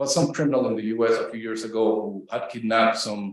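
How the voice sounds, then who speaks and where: A man's fairly quick speech with audible room echo. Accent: Spanish. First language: Spanish. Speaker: professor. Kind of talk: academic lecture.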